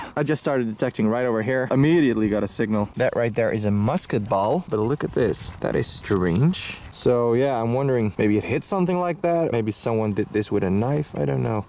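Light background noise accompanies a man speaking at a fairly quick pace with lively intonation, the sound dry with no echo. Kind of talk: casual vlog chat. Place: forest. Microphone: phone near.

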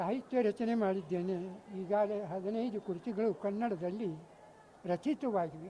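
High male voice, ordinary pitch movement. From North Karnataka, Ilkal area. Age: 80s+. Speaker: retired government official, student. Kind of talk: interview.

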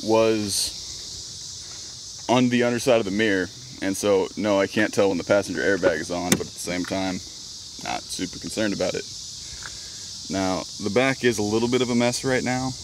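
A man's fairly low voice at a moderate pace, with ordinary pitch variation, a dry sound with no echo and noticeable background noise. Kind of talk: casual vlog chat. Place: car. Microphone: phone near.

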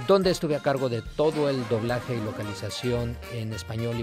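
Clear music plays in the background while a man speaks at a fairly slow pace with ordinary pitch variation. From Mexico. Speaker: voice actor and dubbing director. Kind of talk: promotional message to camera. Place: studio.

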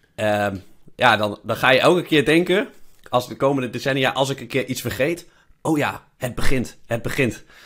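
The recording is very clean, with a silent background. A man speaks at medium pitch and a moderate pace, with ordinary pitch variation. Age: 30s. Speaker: podcast host, investor. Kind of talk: casual chat. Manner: halting.

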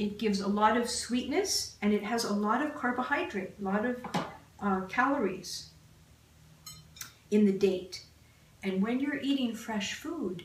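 A woman talks at a fairly slow pace with ordinary pitch variation. Audible room echo surrounds her voice. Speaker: cooking show host. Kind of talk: tutorial. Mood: warm, upbeat. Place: kitchen.

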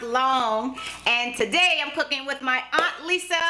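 A woman's raised, projected voice at a fairly slow pace, with ordinary pitch variation. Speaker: cooking show host. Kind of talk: casual cooking tutorial chat. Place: kitchen.

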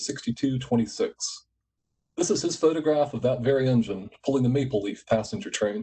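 Speaking with an American accent, a man sounds somewhat breathy with a dark, mellow tone, talking at a moderate pace with ordinary pitch variation. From US, West Virginia. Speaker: executive director of a photography nonprofit; conference host, presenter. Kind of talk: conference presentation. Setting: online video conference. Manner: formal. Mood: warm, reflective. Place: home room. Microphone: video call.

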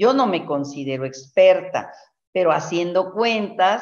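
A woman speaks at a medium pitch against a quiet background. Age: 60s. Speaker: network marketing leader and herbalist; guest. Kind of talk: mentoring talk. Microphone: video call.

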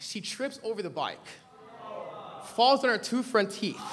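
With an American accent, the speaker uses an animated tone, ordinary pitch variation and a moderate pace over light background noise. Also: man. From Los Angeles County, Nigerian family. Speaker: preacher. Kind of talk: sermon. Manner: animated storytelling. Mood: humorous anecdote. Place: church. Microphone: podium.

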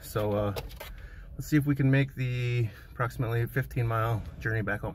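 Noticeable background noise is present. Through it, a man talks. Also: dry sound with no echo. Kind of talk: casual vlog chat. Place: car. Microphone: phone near.

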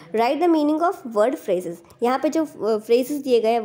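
A woman speaks at a high pitch with a dark, mellow tone and lively intonation. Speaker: teacher explaining school worksheets. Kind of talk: tutorial.

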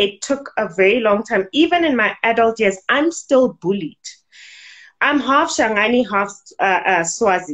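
In a plain, everyday voice, a woman speaks at a fairly slow pace and fairly high pitch, with lively intonation and very even loudness. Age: adult. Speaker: businesswoman and modeling academy owner. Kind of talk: interview. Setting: video call.

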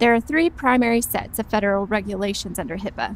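A woman at a fairly quick pace, dry sound with no echo. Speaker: presenter. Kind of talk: scripted training presentation. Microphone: lapel.

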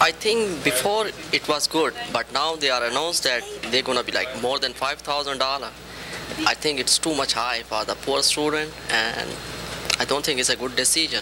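A man at a medium pitch and moderate pace, with ordinary pitch variation, long, frequent pauses and clear background noise.

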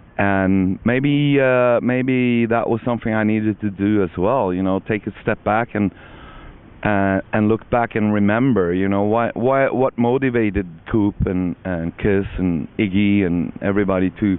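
The man talks at a fairly slow pace with ordinary pitch variation. His loudness stays very even, and the sound is dry with no echo. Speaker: interviewee. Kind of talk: interview answer. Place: open country. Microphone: handheld.

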